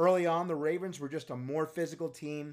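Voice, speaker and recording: A man with an American accent, an ordinary speaking voice, fairly high pitch and fairly quick pace on a very clean recording with a silent background. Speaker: football scouting podcast host. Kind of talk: sports recap and analysis monologue. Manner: self-promoting, playful, confident.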